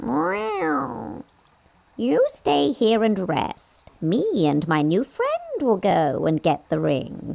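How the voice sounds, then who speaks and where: In a put-on character voice, a female-sounding speaker talks at a very slow pace with a fairly low pitch. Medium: audio drama. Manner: meowing, sly.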